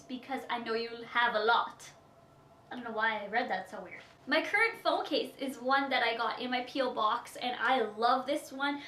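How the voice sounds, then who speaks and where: A raised, projected voice in a Canadian Prairie accent moves at a moderate pace with ordinary pitch variation. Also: woman. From Saskatchewan, Canada. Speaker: beauty vlogger. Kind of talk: Q&A vlog.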